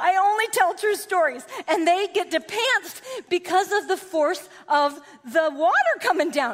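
The intonation is lively and the tone animated. Noticeable background noise runs underneath. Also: woman. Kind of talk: sermon. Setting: stage with audience.

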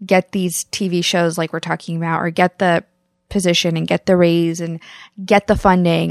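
The woman's voice sits at a fairly low pitch, and the sound is dry and close with no echo. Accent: Midwestern US. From US Midwest, Kansas. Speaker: podcast co-host. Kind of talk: casual chat.

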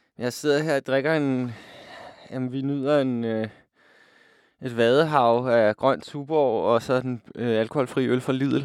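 A man speaks at a very slow pace with fairly even intonation. Long, frequent pauses break up his speech. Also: medium pitch for a man. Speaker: radio DJ. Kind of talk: casual radio presenting.

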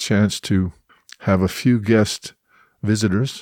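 A man with a Canadian accent and a normal speaking voice, fairly low in pitch, fairly even in intonation, on a very clean recording with a silent background. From Edmonton, Alberta, Canada. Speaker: theatre director. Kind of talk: interview.

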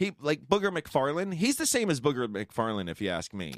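An American accent with very wide pitch swings, a dry, close sound with no echo, and a very clean recording against a silent background. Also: man. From New York. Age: 40s. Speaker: sports podcast host. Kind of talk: casual chat.

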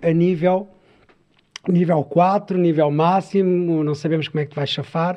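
A man with a high pitch, a fairly slow pace and monotone, flat intonation. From Portugal, Sintra (Lisbon area). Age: 40s. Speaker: storyteller and traveller, former footballer. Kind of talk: interview conversation.

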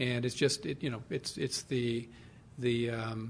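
A man speaks in a somewhat breathy voice. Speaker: panel moderator, alumni association head. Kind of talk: moderating a panel.

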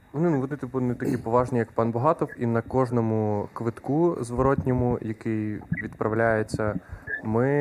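A man's voice comes at a moderate pace, its pitch moving in an ordinary way. Behind him, background noise is noticeable. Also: medium pitch for a man. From Ukraine, Khmelnytskyi region. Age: 20s. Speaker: stand-up comedian. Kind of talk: casual chat.

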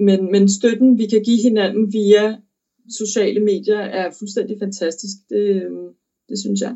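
Speaking very slowly, a woman holds a medium pitch in a monotone, flat intonation. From Denmark. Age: 20s. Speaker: opera singer. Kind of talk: interview. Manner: halting.

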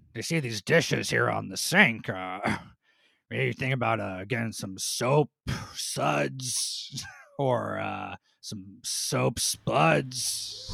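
Putting on a raspy character voice at a medium pitch, a man speaks at a very slow pace. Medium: game stream. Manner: sarcastic, condescending wordplay.

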